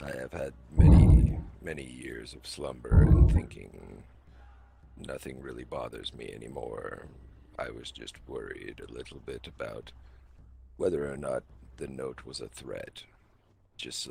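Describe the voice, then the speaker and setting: Using a put-on character voice, a man speaks in a calm tone at a moderate pace, with long, frequent pauses. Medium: game stream. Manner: calm, measured, detached.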